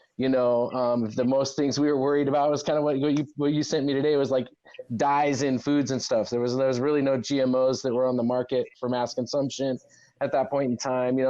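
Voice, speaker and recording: At a fairly quick pace, a man with an American accent speaks at a medium pitch, with fairly even intonation and very even loudness. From US Pacific Northwest, Walla Walla, Washington. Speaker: cannabis industry figure. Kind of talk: interview. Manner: casual, hesitant with fillers.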